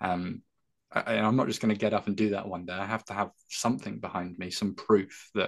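Against a quiet background, a man with an English accent talks at a very fast pace, his fairly low pitch carrying fairly even intonation. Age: 20s. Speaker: careers speaker for young people. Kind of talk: interview.

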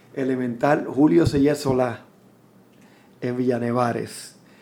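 Audible room echo surrounds a man speaking in a medium pitch with monotone, flat intonation. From Puerto Rico. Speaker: musician. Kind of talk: interview. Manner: halting, frequent repetitions.

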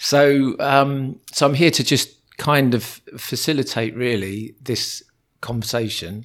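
A man's unremarkable speaking voice, medium in pitch with ordinary variation, at a fairly slow pace. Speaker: educator acting as interviewer. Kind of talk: casual interview conversation.

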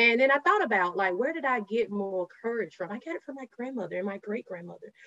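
A woman's very fast speech with a Southern US accent, ordinary pitch variation, and a dry, close sound with no echo. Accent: Southern US (Georgia). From rural Georgia, US South. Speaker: diversity and inclusion professional. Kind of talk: interview conversation.

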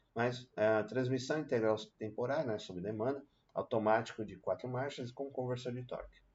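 A man speaks at a moderate pace in a medium pitch. His voice is somewhat breathy, with ordinary pitch variation. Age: 40s. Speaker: car youtuber. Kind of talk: casual video commentary. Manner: casual with many fillers.

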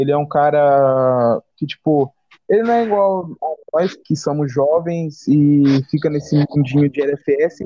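With an ordinary speaking voice and ordinary pitch variation, a man talks at a fairly high pitch. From Brazil, Cuiabá (Mato Grosso). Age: young. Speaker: podcast co-host and editor. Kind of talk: casual chat.

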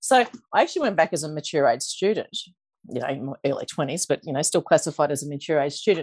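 A woman with an Australian accent rattles along very fast in a very deep, low voice. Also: lively intonation, dry, close sound with no echo. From Queensland, Australia (Toowoomba). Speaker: financial coach. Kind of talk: interview.

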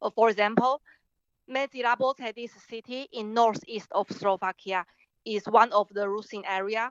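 A woman with a Chinese accent talks at a moderate pace and a fairly high pitch. Her intonation is fairly even, but her loudness swings widely. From Taiwan. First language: Mandarin Chinese. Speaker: artist and filmmaker. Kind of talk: interview.

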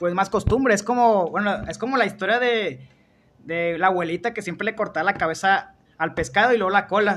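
A man with a high pitch, ordinary pitch variation, and a fairly quick pace. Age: young. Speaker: podcast host. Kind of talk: casual chat.

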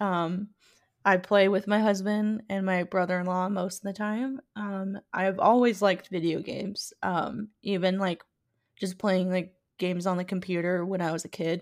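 Keeping a monotone, flat intonation, a woman speaks at a medium pitch. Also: moderate pace, very clean recording, silent background. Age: 20s. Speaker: podcast co-host. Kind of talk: casual chat. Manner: giggly, many filler words.

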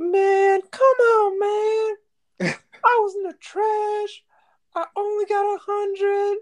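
The voice is a put-on character, pitched extremely high. It moves at a very slow pace with monotone, flat intonation. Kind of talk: informal, colloquial. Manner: whiny, complaining.

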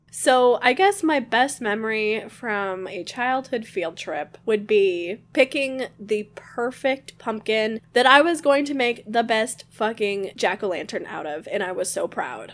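A fairly high-pitched woman with an American accent and an ordinary speaking voice, with lively intonation, at a fairly slow pace, with hardly any pauses. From Michigan. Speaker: podcast co-host. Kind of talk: casual chat. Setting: video call.

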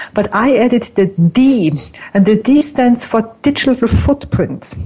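A woman talks at a fairly slow pace with ordinary pitch variation. Noticeable background noise runs under her voice. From Austria. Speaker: image consultant. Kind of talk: interview. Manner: animated.

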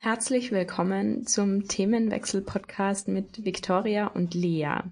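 Speaking at a fairly slow pace, a woman sounds somewhat breathy, her intonation fairly even against a quiet background. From Austria, Tyrol. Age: 20s. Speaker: podcast co-host, student, blogger. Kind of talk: casual chat.

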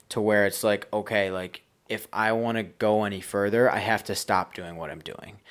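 With an American accent, a man talks at a fairly low pitch in a very clean recording with a silent background. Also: big swings in loudness. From Buffalo, New York. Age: 20s. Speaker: landscaping business owner and investor. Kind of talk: interview. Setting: house under renovation.

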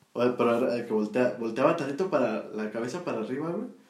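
A man at medium pitch talks at a very fast pace, with audible room echo and noticeable background noise. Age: 20s. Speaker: podcast co-host. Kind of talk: casual chat.

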